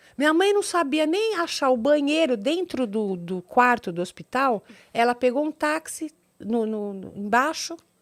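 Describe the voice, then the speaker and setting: With a high pitch and very wide pitch swings, a woman talks at a fairly slow pace in a very clean recording with a silent background and a dry, close sound with no echo. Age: 60s. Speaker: doctor and TV personality. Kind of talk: interview. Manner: halting, repetitive.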